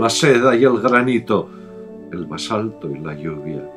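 Over music in the background, a man with a medium pitch talks at a very slow pace with very wide pitch swings. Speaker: poetry reciter. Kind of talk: poetry reading.

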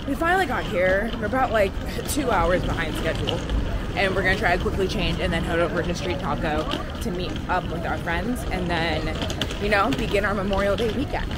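Over loud background noise, a woman talks at a fairly quick pace in a dry sound with no echo. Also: ordinary pitch variation. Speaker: vlogger. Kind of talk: casual vlog chat. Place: street. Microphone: phone near.

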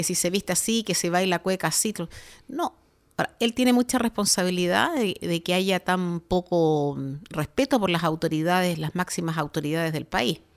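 Very clean, with a silent background, this recording features a woman with an ordinary speaking voice. Her pitch is fairly low, with ordinary pitch variation. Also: moderate pace. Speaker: radio host. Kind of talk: casual chat. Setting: studio.

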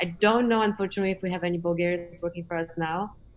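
Over light background noise, a woman speaks at a fairly low pitch with fairly even intonation. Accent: Polish. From Poland, small mountain town in the Tatras; Poland. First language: Polish. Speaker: space industry executive; guest. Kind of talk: online conference presentation and Q&A. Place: home room. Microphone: video call.

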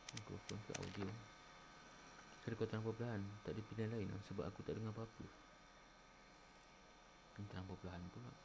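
A man talks at a very fast pace in a fairly low pitch, with long, frequent pauses. Noticeable background noise sits under the recording. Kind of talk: casual gameplay commentary. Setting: cheap microphone. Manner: chatty, lively.

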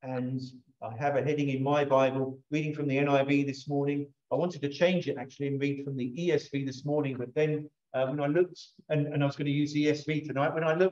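The delivery is monotone and flat at a fairly quick pace. The background is quiet. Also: man. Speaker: pastor. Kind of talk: sermon. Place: church.

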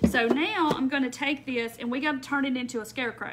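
A woman with a Southern US accent, high pitch and ordinary pitch variation, at a moderate pace over light background noise. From Mississippi. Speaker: crafter; craft live streamer. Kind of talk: live craft tutorial. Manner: casual. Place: home room. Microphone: phone near.

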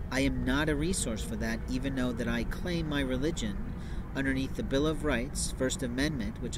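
Speech comes at a moderate pace with a dry sound with no echo and noticeable background noise. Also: man. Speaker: speaker. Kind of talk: monologue to camera. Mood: earnest, somewhat aggrieved. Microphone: phone near.

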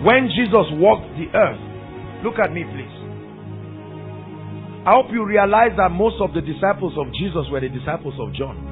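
Music plays behind a man whose loudness swings widely and whose speech has long, frequent pauses. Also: moderate pace. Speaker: preacher. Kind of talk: sermon to a congregation. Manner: emphatic, engaging the audience with questions.

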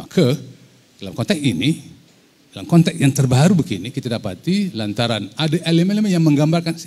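A man speaks very fast at a fairly high pitch, his tone dark and mellow with vocal fry. His pitch swings very widely. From Malaysia. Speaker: president of a writers' federation; panelist. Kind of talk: panel discussion. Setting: hall with audience. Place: hall. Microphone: handheld.

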